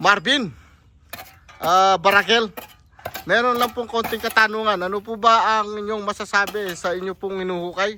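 Over noticeable background noise, a man with a Pampanga accent uses a raised, projected voice, high in pitch, at a moderate pace with fairly even intonation. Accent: Kapampangan accent in Tagalog. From Pampanga, Philippines. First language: Kapampangan (speaking Tagalog). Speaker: construction contractor vlogger. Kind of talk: casual vlog narration. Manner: halting.

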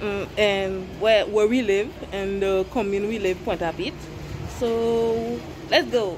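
The speaker talks at a very slow pace with ordinary pitch variation over noticeable background noise. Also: woman. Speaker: vlogger. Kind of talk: casual vlog chat. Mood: cheerful, playful. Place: street. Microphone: phone near.

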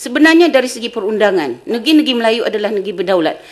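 A woman with an unremarkable speaking voice talks at a fairly high pitch with lively intonation. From Malaysia. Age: 60s. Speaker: history professor. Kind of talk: lecture. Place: hall.

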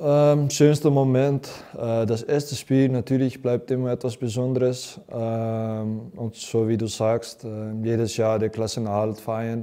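At a very slow pace with hardly any pauses, a man with a Dutch accent speaks at a medium pitch with fairly even intonation over a quiet background. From Netherlands. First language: Dutch (speaking German). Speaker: professional footballer. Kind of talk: interview. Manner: halting, many fillers. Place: studio. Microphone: lapel.

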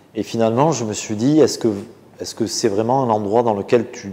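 The man's pace is moderate, and his pitch moves in an ordinary way. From French Basque Country. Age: 40s. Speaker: butcher and caterer. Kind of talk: interview answer. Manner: hesitant, casual. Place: kitchen. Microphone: lapel.

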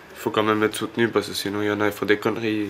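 A man's fairly low voice with light background noise. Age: 20s. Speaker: homeless young man. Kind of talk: interview. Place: home room.

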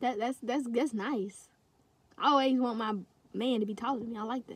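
Over light background noise, a woman talks at a fairly high pitch, the sound dry with no echo. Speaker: YouTube vlogger. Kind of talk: casual, slangy. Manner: fast talker. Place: car. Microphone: phone near.

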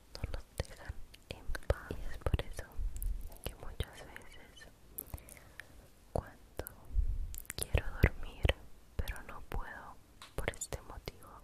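The woman whispers at a very slow pace, with long pauses coming often. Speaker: ASMR creator. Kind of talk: guided relaxation for sleep. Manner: soft-spoken, slow. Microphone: studio mic.

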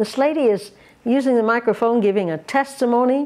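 This woman's voice sits at a fairly high pitch with a dark, mellow tone. Her intonation is lively. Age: 80s+. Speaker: missionary preacher. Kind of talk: sermon with testimonies. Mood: warm, gentle. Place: home room.

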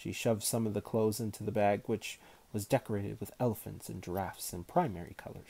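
The intonation is fairly even. It comes in an unforced reading voice.

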